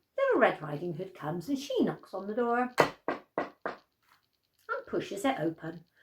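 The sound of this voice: A woman speaks at a fairly low pitch with very wide pitch swings, vocal fry and a slightly husky edge.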